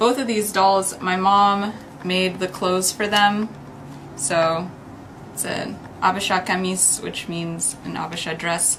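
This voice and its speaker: With an American accent, a woman of medium pitch uses an ordinary speaking voice with fairly even intonation. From United States. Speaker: YouTuber. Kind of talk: show-and-tell vlog.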